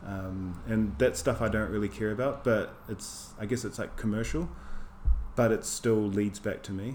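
A man's fairly low voice with a New Zealand accent, vocal fry, ordinary pitch variation and a moderate pace. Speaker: artist. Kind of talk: casual interview chat.

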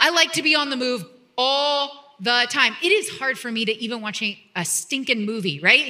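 Her voice raised and projected, a woman speaks at a moderate pace in a bright, sharp tone. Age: 40s. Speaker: pastor. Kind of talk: sermon.

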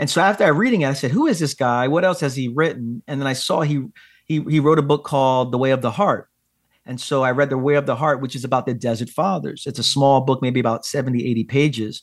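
On a very clean recording with a silent background, a man talks at a very fast pace in a fairly high voice with ordinary pitch variation. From Brooklyn, New York, of Puerto Rican descent. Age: 40s. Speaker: pastor and author. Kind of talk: podcast interview.

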